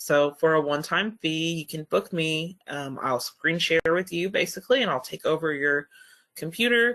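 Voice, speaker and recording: A woman with a bright, sharp tone and a fairly low pitch talks at a moderate pace with lively intonation. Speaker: customer success manager presenting training. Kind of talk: webinar presentation. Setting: online webinar with screen share.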